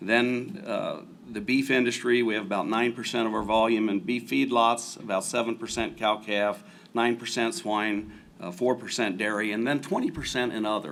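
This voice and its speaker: A man at medium pitch, with ordinary pitch variation, speaks over noticeable background noise. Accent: slight Southern. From US Midwest, rural Ohio near Cincinnati. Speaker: agricultural lending executive. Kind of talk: panel discussion.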